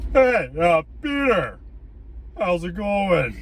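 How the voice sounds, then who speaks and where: Light background noise accompanies a put-on character voice. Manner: casual and friendly.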